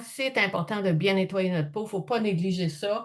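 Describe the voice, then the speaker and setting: A woman speaks with a Quebec accent at a medium pitch. Her pace is fairly slow. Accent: Québécois French. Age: 60s. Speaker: skincare sales consultant. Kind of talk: product presentation. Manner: casual, chatty.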